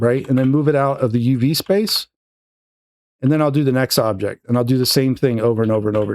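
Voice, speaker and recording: Speaking at a medium pitch, a man rattles along at a very fast pace. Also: ordinary pitch variation. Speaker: 3D art tutorial creator. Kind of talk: tutorial. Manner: casual, filler-heavy.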